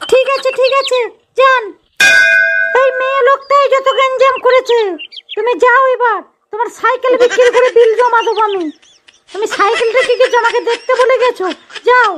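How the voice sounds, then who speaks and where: A woman performs a cartoonish character voice at an extremely high pitch. Her intonation stays fairly even. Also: moderate pace. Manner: sharp, scolding.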